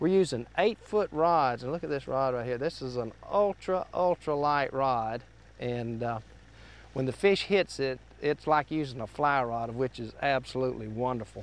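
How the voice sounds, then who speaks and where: A man at a moderate pace with ordinary pitch variation, in a dry sound with no echo. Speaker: fishing show host. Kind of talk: tutorial. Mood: cheerful, relaxed. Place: boat. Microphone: lapel.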